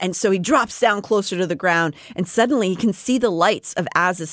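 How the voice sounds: A natural reading voice carries the text, its pitch varying in an ordinary way.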